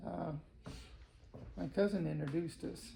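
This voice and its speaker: Audible room echo surrounds a man talking at a moderate pace with an American accent. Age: 80s+. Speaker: retired electrician and grandfather. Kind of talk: family interview. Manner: halting, many fillers.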